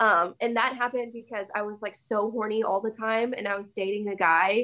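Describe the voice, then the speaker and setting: A woman with an American accent and an ordinary speaking voice, fairly high in pitch, at a moderate pace with fairly even intonation. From Missouri, US Midwest. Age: 20s. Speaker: content creator, former teacher. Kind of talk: interview.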